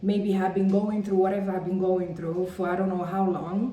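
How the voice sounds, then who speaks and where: Noticeable background noise and audible room echo. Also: woman. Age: 30s. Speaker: vlogger. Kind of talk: personal vlog monologue. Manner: conversational, many fillers.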